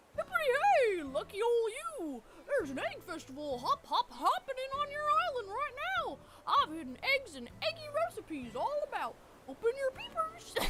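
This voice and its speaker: A cartoonish character voice at extremely high pitch swings very widely with a playful tone. It moves at a moderate pace over loud background noise. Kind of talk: goofy cartoon voice. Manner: playful, silly.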